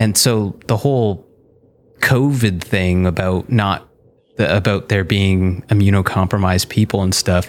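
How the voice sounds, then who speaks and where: With a Canadian accent, a man speaks in an unremarkable speaking voice, fairly low in pitch, with fairly even intonation and very even loudness. The recording is very clean, with a silent background. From Southern Ontario, Canada (Niagara region). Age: 30s. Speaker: illustrator and animator. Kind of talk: casual interview chat.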